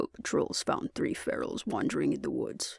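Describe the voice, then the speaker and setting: A man puts on a gruff character voice. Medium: read story. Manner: blunt, practical.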